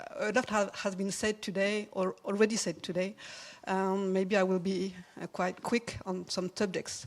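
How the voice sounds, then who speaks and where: A woman's medium-pitched, monotone voice with a French accent, flat in intonation and moderate in pace. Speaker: commission co-chair presenting a report. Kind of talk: conference presentation. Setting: conference stage with audience. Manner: halting.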